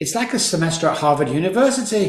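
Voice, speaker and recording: In a room with audible echo, a man talks with lively intonation. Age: 60s. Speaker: addiction psychologist and recovery coach. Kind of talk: casual interview. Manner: animated.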